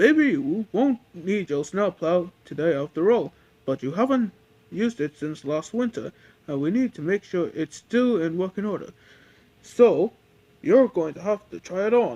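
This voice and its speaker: At a moderate speed, the speaker performs in a put-on character voice. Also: man, high pitch for a man. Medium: read story.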